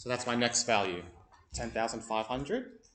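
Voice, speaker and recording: Audible room echo follows a man speaking at a medium pitch. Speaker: maths teacher. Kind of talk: classroom lesson. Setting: classroom.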